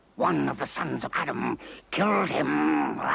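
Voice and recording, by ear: A raspy, cartoonish character voice from a man, very deep and low in pitch, at a moderate pace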